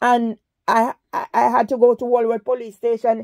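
A woman's fairly high-pitched voice, dark and mellow in tone, against a quiet background. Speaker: vlogger. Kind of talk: phone call to police, complaint. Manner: calm; halting. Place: home room. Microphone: phone near.

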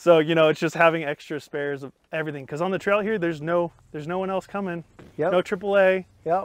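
Recorded dry with no echo, a man talks in a high pitch with fairly even intonation. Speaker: interviewee. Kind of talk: interview answer. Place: forest.

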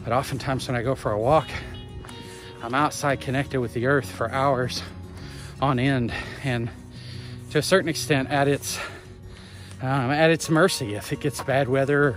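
Clear music plays in the background of a dry sound with no echo. A man speaks at a moderate pace with ordinary pitch variation and long, frequent pauses. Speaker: pilgrimage vlogger. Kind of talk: casual vlog chat. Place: forest. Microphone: phone near.

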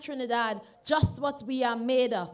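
At a moderate pace, a woman talks, her pitch varying in an ordinary way. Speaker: candidate. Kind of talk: campaign rally speech. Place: stage. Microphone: studio mic.

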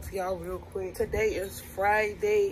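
Light background noise can be heard. A woman talks over it. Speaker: vlogger. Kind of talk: casual vlog chat. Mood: nervous but joking.

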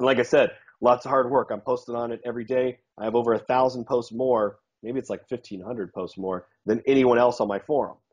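An unremarkable speaking voice moves at a fairly quick pace with fairly even intonation over a quiet background. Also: man, medium pitch for a man. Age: 30s. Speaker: dating coach and self-defense trainer; dating coach, self-defense trainer. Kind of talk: casual interview chat. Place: home room. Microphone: video call.

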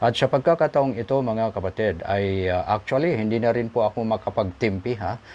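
A man's medium-pitched voice at a fairly quick pace, with hardly any pauses, ordinary pitch variation, and a quiet background. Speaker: YouTube commentary vlogger. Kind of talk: news commentary monologue. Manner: halting, many filler sounds.

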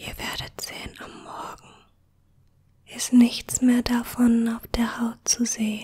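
A woman whispers in a soothing tone at a very slow pace. Her loudness rises and falls sharply. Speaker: ASMR creator. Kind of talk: ASMR whisper tutorial. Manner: hushed, slow and soothing, whispered softly.

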